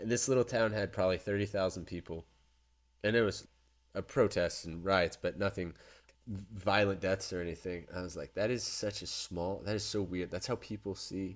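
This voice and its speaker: A man's fairly low voice with an American accent, fairly even in intonation and moderate in pace, on a very clean recording with a silent background. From United States. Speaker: podcast co-host. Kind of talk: casual chat. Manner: halting, many restarts.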